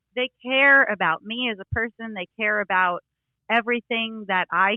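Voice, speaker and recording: A woman with a New York accent. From New York, Brooklyn. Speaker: country singer. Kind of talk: casual interview.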